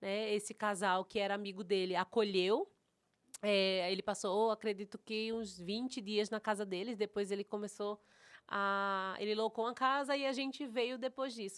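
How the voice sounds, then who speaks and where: A woman with a northeastern Brazilian accent speaks at a medium pitch and a moderate pace, with fairly even intonation. The recording is very clean with a silent background and a dry, close sound with no echo. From Recife, Brazilian Northeast. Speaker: pastor and mentor. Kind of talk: interview chat.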